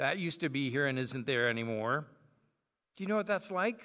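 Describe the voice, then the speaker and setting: In a quiet setting, a man speaks with a bright, sharp tone. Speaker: preacher. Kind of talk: sermon. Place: church. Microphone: podium.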